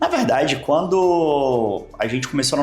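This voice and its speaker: Over noticeable background noise, a man with a slight Maranhão accent speaks with ordinary pitch variation. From Brazil, Maranhão. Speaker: nutrition doctor. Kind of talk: interview.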